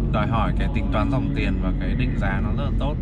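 Music plays in the background of a dry recording with no echo. A man speaks at a fairly quick pace. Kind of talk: casual conversation. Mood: relaxed, explaining opinions. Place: car.

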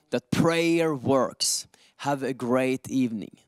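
A man's slow delivery with a clear, smooth tone and ordinary pitch variation.

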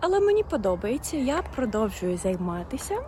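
Noticeable background noise sits under the recording. A woman talks at a fairly slow pace. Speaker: language teacher vlogger. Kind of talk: casual vlog. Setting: outdoors, walking in park. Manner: slow and clear.

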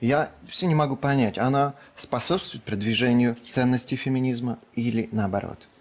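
A man talks with ordinary pitch variation, his voice sitting at a medium pitch and moving at a moderate pace. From Russia, Kirov. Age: 20s. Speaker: bachelor contestant, blogger. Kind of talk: TV talk show interview. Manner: halting.

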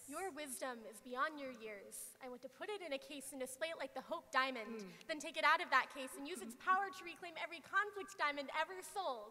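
Her voice raised and projected, a woman speaks with lively intonation and hardly any pauses. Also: fairly quick pace. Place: stage. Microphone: handheld.

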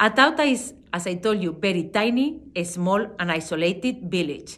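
With a Spanish accent, a woman speaks at a moderate pace, her pitch swinging very widely. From Spain. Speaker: wine expert and brand ambassador. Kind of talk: wine tasting presentation. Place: home room. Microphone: phone near.

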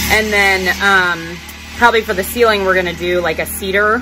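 Clear music plays in the background. A woman speaks over it with fairly even intonation. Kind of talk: casual vlog chat. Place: bus. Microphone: phone near.

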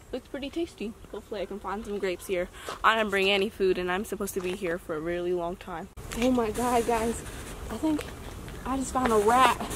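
A woman's fairly quick delivery with ordinary pitch variation, a dry sound with no echo, and noticeable background noise. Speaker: hiking vlogger. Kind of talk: casual vlog chat. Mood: playful, mock-dramatic. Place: open country.

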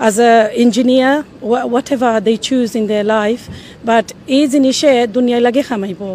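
A woman talks in a high voice. The sound is dry with no echo, and there is light background noise. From Bangladesh, Sylhet, then East London from age eight; Bangladesh. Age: 50s. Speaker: mother, community member; interviewee. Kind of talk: interview remarks. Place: street. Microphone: handheld.

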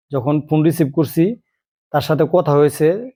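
This man has a fairly high pitch and a dark, mellow tone, delivered in a monotone, flat way. The recording is very clean, with a silent background. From Bangladesh, Dhaka area. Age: 40s. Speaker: YouTuber and migrant worker. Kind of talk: vlog monologue. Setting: outdoors by the sea.

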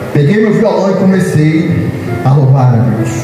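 A man speaks at a very slow pace, with music in the background. Strong room echo fills the recording. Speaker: preacher. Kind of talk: sermon. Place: church. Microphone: camera far.

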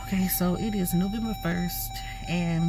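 A woman's voice, dry with no echo, with music in the background. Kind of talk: casual vlog chat. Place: car. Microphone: phone near.

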